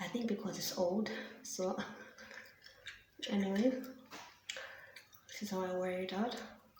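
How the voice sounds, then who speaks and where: Soft-spoken and medium-pitched, a woman talks at a moderate pace with fairly even intonation and long, frequent pauses. Noticeable noise sits in the background. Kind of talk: ASMR soft-spoken show and tell.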